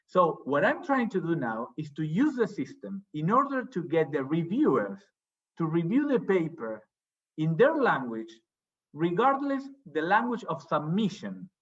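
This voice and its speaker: A man with a Spanish accent speaks at a moderate pace. His voice is high, with very wide pitch swings. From Argentina. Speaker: academic, journal editor. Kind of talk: academic seminar discussion. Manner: hesitant, repeats words.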